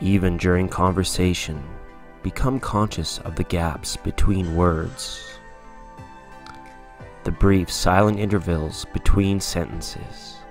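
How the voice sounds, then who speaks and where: The voice is calm and soothing, with fairly even intonation and music in the background. It moves at a very slow pace with long, frequent pauses. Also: man, very deep, low pitch for a man. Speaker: meditation guide. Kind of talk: guided meditation narration. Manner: calm, slow, soothing.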